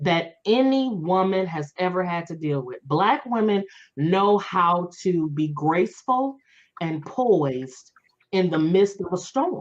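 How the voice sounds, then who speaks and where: A woman speaks at a very slow pace with lively intonation. Her pitch sits in the medium range. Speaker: author and speaker. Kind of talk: interview.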